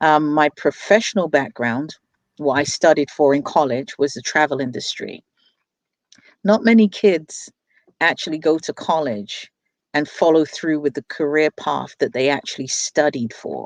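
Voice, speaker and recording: Very deep and low in pitch, a woman speaks with a London accent and ordinary pitch variation in a dry, close sound with no echo. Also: moderate pace. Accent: London, British. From England, London. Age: 40s. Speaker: business owner and crypto investor. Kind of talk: interview, personal story.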